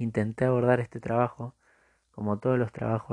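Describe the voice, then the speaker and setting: In a dry, close sound with no echo and a quiet background, a man of medium pitch talks fairly quickly in a dark, mellow tone with monotone, flat intonation. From Argentina, Buenos Aires province. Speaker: social work student. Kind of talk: reading aloud a written assignment. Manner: formal.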